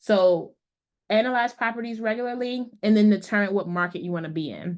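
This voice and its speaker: Against a quiet background, a woman with a medium pitch talks at a fairly quick pace with fairly even intonation. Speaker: real estate investor and meetup presenter. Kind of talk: presentation to meetup group. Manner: fast.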